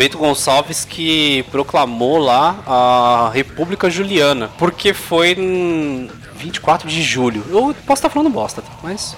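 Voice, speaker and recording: A man's voice moves through very wide pitch swings. Noticeable background noise is present. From São Paulo, Brazil (east zone, Suzano). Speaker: podcast host. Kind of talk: casual chat.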